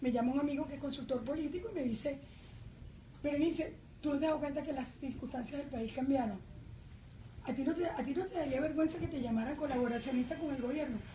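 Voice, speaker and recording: A woman with a Venezuelan accent talks very fast at a high pitch with ordinary pitch variation, with audible room echo. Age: 60s. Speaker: journalist and parliamentary candidate. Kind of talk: political debate. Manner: animated.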